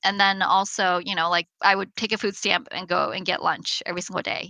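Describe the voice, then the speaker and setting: Bright and sharp in tone with vocal fry, a woman of medium pitch talks at a very fast pace. The sound is dry and close with no echo, and the background is quiet. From grew up in St. Louis, US, from age six; born in China. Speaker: entrepreneur, company founder. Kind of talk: interview.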